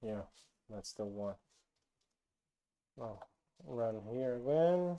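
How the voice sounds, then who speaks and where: A dark, mellow tone at a very slow pace, with lively intonation. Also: man, medium pitch for a man. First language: not English. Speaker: programming YouTuber. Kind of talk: tutorial. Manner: halting, many fillers.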